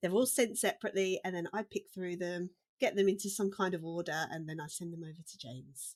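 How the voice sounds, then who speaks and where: A woman talks at a very fast pace with a British accent. Her loudness swings widely. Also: medium pitch for a woman, ordinary pitch variation. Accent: British accent, real. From UK. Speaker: dialogue editor. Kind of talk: casual chat. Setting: remote call, different countries.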